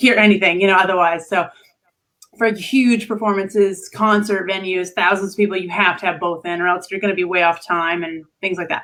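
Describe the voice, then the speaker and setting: The speaker is a woman with a medium pitch. She talks at a fairly quick pace. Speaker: singer. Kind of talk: casual chat. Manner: animated.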